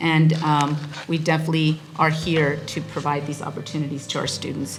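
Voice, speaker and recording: Music in the background and audible room echo around a woman's very deep, low voice, fairly even in intonation, at a moderate pace. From South Texas, the Valley. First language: Spanish. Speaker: college president. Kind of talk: welcome speech. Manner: halting, with repetitions.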